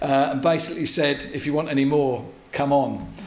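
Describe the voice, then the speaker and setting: With audible room echo, a man talks at a moderate speed. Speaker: visiting pastor. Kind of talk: sermon. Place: church. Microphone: podium.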